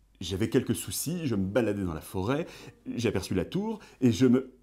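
A man speaks at a moderate pace in a medium-pitched voice with a dark, mellow tone and lively intonation. The recording is very clean, with a silent background. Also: long, frequent pauses. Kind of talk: interview.

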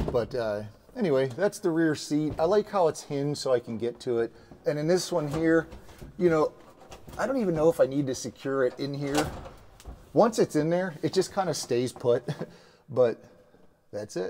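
Over light background noise, someone speaks at a moderate pace with long, frequent pauses. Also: man. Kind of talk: tutorial. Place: garage. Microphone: lapel.

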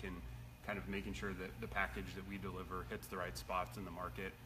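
A man is talking, and there is noticeable background noise behind him. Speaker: product manager host. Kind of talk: casual live stream chat. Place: workshop. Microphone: phone near.

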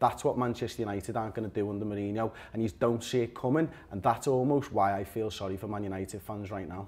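Talking at a very fast pace, a man speaks with a Liverpool accent. His pitch variation is ordinary. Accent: Scouse. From Liverpool, England. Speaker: football fan pundit. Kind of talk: heated debate. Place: studio. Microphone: lapel.

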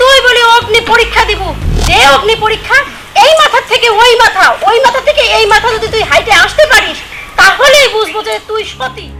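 A put-on character voice with a bright, sharp tone and lively intonation moves at a fairly quick pace, broken by long, frequent pauses, over faint music in the background. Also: woman, extremely high pitch for a woman.

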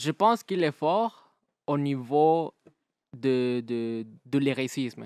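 Speaking at a very slow pace with long, frequent pauses, a man with a Spanish accent uses a fairly high pitch and lively intonation, in a dry sound with no echo against a quiet background. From Mexico. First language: Spanish (speaking French). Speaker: battle rapper; guest. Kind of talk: casual interview. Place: studio. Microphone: studio mic.

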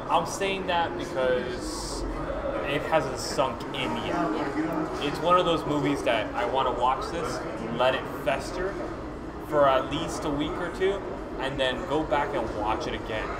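A man talking at a fairly slow pace over loud background noise. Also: ordinary pitch variation. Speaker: film reviewer host. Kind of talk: conversational film review. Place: hall. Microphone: camera far.

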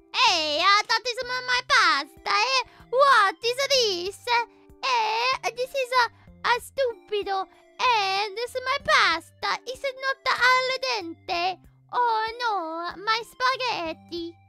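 With faint music in the background, a woman does a put-on character voice with an Italian accent, extremely high in pitch, raised and projected, at a very slow pace with long, frequent pauses. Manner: exaggerated, comedic.

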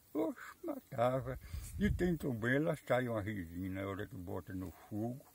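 A man's somewhat breathy, medium-pitched voice at a moderate pace with lively intonation, dry with no echo, over light background noise. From Brazilian Northeast, caatinga backcountry. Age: 80s+. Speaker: farmer. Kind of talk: interview answer. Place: open country.

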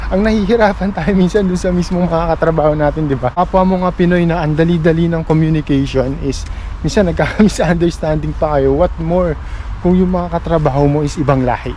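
The speaker moves at a fairly quick pace with fairly even intonation. Noticeable background noise can be heard. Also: man, high pitch for a man. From Philippines. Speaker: vlogger. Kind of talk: casual vlog storytelling.

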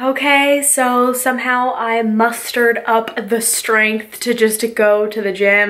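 Fairly even intonation with an American accent, against noticeable background noise. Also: woman. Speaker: lifestyle vlogger. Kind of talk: casual vlog.

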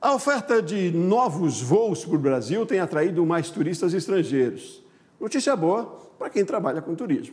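The speaker moves at a moderate pace while the pitch swings very widely. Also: man, high pitch for a man. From Brazil. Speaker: news anchor. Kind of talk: news reading; interview. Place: studio. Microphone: lapel.

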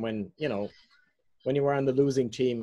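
A man speaks with a fairly high pitch. His tone is dark and mellow, and the background is quiet. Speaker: larp player; larp player or facilitator. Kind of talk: role-play game. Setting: video call. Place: home room. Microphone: video call.

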